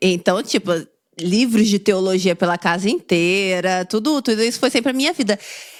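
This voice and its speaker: A normal speaking voice from a woman, medium in pitch, with lively intonation. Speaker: podcast host. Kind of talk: podcast interview, casual talk.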